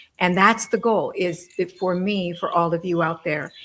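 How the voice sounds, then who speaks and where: A woman talks at a fairly slow pace in a fairly low pitch. Noticeable background noise sits behind her. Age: 60s. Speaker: medium and author. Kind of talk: panel discussion.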